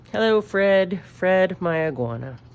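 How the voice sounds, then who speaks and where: The voice belongs to a woman. Noticeable background noise can be heard too. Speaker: elementary school art teacher. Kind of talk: drawing tutorial for children. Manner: animated.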